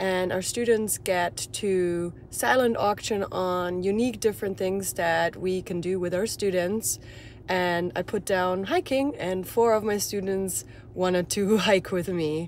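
A woman talks at a fairly slow pace with ordinary pitch variation, her voice dry with no echo and light background noise behind it. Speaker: hiking vlogger, dance teacher. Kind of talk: casual vlog chat. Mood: cheerful, excited. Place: car. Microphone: phone near.

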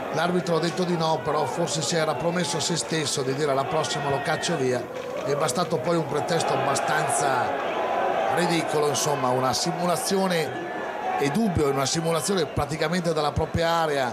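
Loud background noise runs beneath a man talking at a fairly quick pace. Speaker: sports commentator. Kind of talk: live football commentary. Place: stadium.

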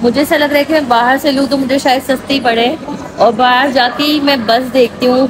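Over crowd noise in the background, a woman talks at a moderate pace. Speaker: travel vlogger. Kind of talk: casual vlog chat. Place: hall. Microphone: phone near.

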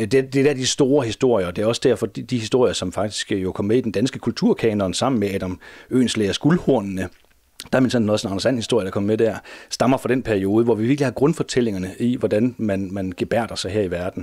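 A man talks very fast in a dark, mellow tone with ordinary pitch variation over a quiet background. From Denmark. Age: 40s. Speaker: teacher and comics collector; teacher, comics collector. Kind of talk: interview. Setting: at home. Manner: halting. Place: home room.

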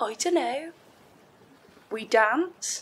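A woman's put-on character voice, high-pitched and fairly bright, with a husky, rough edge, at a very slow pace. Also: lively intonation.

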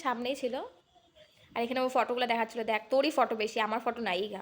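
Her voice is high-pitched, with ordinary pitch variation. The woman is recorded very cleanly, against a silent background. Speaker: vlogger. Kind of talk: casual vlog narration.

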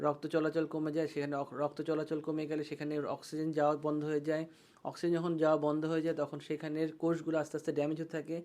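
Flat and monotone, a man speaks with a dark, mellow tone at a fairly high pitch. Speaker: eye doctor. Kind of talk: patient education talk.

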